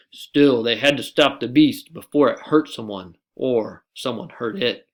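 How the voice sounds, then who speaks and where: A man uses a put-on character voice at medium pitch. His loudness swings widely. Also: moderate pace, ordinary pitch variation. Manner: storytelling.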